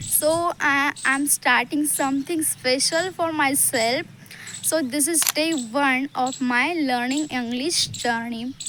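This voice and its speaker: With an Indian accent, a woman speaks at a very slow pace in a high pitch. Her intonation is fairly even and her loudness very even, over noticeable background noise. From Maharashtra, India. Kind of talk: casual talk to camera. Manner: hesitant, many fillers.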